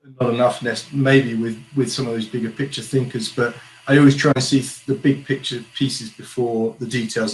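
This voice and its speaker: This man talks at a fairly quick pace with fairly even intonation and a medium pitch. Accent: strong British. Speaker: geospatial consultant and founder. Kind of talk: interview.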